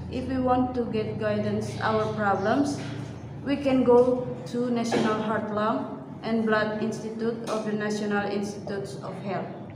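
The speech goes at a fairly slow pace, with audible room echo and noticeable background noise. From Indonesia. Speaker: nursing student. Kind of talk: reading aloud in English class. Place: classroom. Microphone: camera far.

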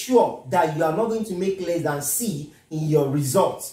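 A man's voice with audible room echo over a quiet background. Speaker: physics tutor. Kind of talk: lecture. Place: home room. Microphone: camera far.

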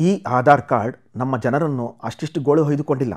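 A man's medium-pitched voice, an unremarkable speaking voice. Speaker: news presenter. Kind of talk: news bulletin read.

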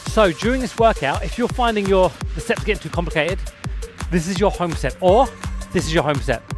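A man talks at a fairly quick pace in a dry sound with no echo while music plays in the background. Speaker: fitness instructor. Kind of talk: workout instruction. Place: waterside.

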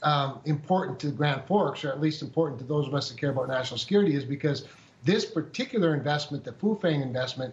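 The pace is very fast for this man. The pitch varies in an ordinary way. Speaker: politician guest. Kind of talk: interview answer. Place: office. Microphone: video call.

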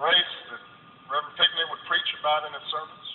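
With an American accent, a man talks at a medium speed over noticeable background noise. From United States. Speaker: president giving a funeral eulogy. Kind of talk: eulogy sermon speech at a funeral. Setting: live funeral venue. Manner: impassioned, reflective. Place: hall.

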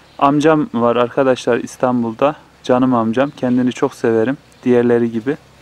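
Speaking at a medium pitch and moderate pace, a man keeps a monotone, flat intonation and very even loudness. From Turkey, Kayseri (Develi village). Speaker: village life vlogger. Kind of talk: casual vlog narration. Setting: outdoors in a village garden.

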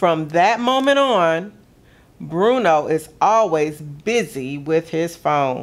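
A warm, gentle voice speaks at a very slow pace. Its pitch swings very widely. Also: woman, fairly low pitch for a woman. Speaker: museum gallery programs director reading a story. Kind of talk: children's picture-book story time, read aloud. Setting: video broadcast for kids at home. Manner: warm, gentle, expressive storyteller pace. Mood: warm, gently expressive.

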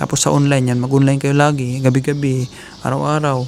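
Against noticeable background noise, a man talks very fast in a fairly high pitch with monotone, flat intonation. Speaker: vlogger giving job-hunting advice to Filipino workers. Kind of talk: casual vlog monologue. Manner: fast, run-on speech.

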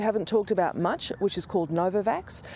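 Speaking at a very fast pace with an Australian accent, a woman uses ordinary pitch variation over light background noise, and the sound is dry with no echo. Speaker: health policy expert. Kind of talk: news interview. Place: waterside. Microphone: lapel.

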